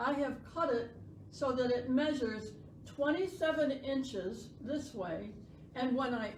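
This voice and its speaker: A loud, high-pitched woman's voice with lively intonation at a very slow pace, with audible room echo. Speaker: sewing instructor. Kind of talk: tutorial.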